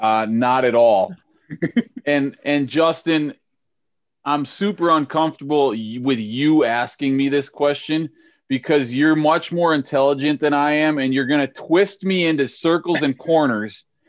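An unremarkable speaking voice from a man with an American accent, fairly high in pitch with ordinary pitch variation, at a fairly slow pace and very even loudness, over a quiet background. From St. Paul, Minnesota. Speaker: podcast host and high school softball coach. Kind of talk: casual chat.

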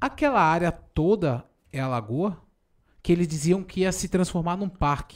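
A man speaks in a high pitch at a moderate pace, his intonation lively. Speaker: podcast host. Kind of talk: casual chat. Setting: studio.

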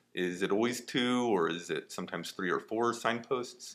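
A man with medium pitch speaks in an ordinary speaking voice on a very clean recording with a silent background. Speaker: podcast host. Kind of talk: podcast interview.

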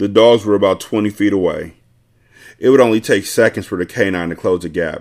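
A man with a plain, everyday voice, fairly low in pitch, at a fairly quick pace, with fairly even intonation. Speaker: podcast host reading novel aloud. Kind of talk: audiobook-style reading aloud of a novel chapter, with casual profane asides. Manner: irreverent, joking, profane banter in the intro, relaxed and conversational.

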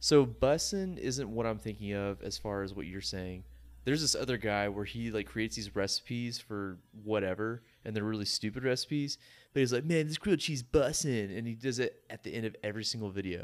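A man speaks at a medium pitch and a fairly quick pace, with ordinary pitch variation and a plain, everyday voice. The recording is very clean, with a silent background. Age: 20s. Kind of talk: casual chat.

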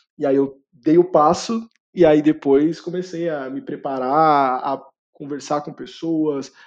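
A man speaks at a fairly high pitch with fairly even intonation. The background is quiet. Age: 20s. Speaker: career content creator and product manager. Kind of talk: podcast interview. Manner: hesitant with fillers.

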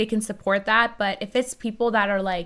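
In a very clean recording with a silent background, a woman with a Canadian accent speaks in an unremarkable speaking voice at medium pitch with fairly even intonation. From Iran, then Vancouver, Canada from age seven. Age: 20s. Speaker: nightclub owner and event promoter. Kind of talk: casual interview chat. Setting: studio.

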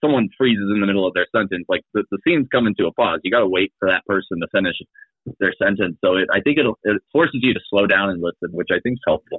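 With a Midwestern American accent, a man talks at a very fast pace. His pitch is fairly low, with ordinary variation. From Kansas City, Missouri. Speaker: improv comedian and teacher. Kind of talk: casual chat.

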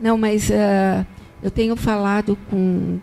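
A woman speaks at medium pitch in a monotone, flat intonation. Noticeable background noise is present. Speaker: marketing agency executive. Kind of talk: podcast interview.

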